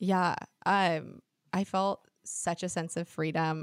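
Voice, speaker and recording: In a very clean recording with a silent background, a woman talks with fairly even intonation and a fairly low pitch. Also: dry, close sound with no echo. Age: 20s. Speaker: podcast host. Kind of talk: casual chat.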